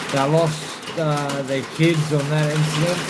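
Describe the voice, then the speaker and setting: Someone with an Australian accent speaks at a very slow pace against noticeable background noise. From South Australia, Adelaide. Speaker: livestreamer. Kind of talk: casual live stream chat.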